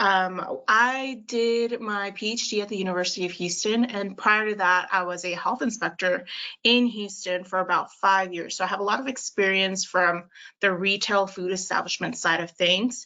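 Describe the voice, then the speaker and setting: A woman talks at a moderate pace with a Spanish accent and fairly even intonation. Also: medium pitch for a woman. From El Paso, Texas. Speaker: food safety manager. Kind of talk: webinar interview.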